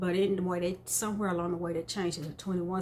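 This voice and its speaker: A woman speaks in a relaxed tone. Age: 60s. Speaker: beauty and wig vlogger. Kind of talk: casual vlog talk to camera. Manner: relaxed with frequent fillers.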